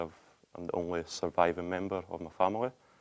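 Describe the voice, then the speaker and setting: A man with a Scottish accent, very deep and low in pitch, monotone and flat, at a very fast pace. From Scotland, Denny near Glasgow. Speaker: interview guest sharing hardship story. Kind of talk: interview testimony.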